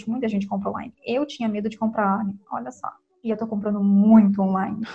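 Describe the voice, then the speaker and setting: A woman speaks at a fairly quick pace. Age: 20s. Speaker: fashion student and thrift store curator. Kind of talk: casual chat.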